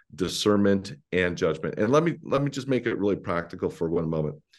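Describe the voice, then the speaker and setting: A man with a Canadian accent speaks at a fairly low pitch with lively intonation. He has a plain, everyday voice, and the background is quiet. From Ontario, Canada (rural Mennonite community). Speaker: pastor. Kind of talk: interview.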